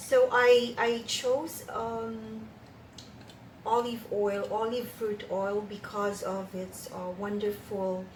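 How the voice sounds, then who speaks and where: The voice shows ordinary pitch variation, and audible room echo can be heard. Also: woman. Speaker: cosmetics formulation teacher. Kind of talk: tutorial. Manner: hesitant, many fillers.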